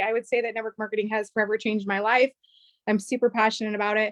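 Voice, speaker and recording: A woman talks very fast in an animated tone, with a dry, close sound and no echo. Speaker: network marketing distributor. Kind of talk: business opportunity presentation.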